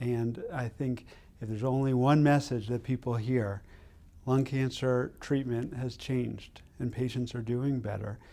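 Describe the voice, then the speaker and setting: The tone is dark and mellow, with fairly even intonation. The pace is fairly slow. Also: man, medium pitch for a man. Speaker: oncologist. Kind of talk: interview answer.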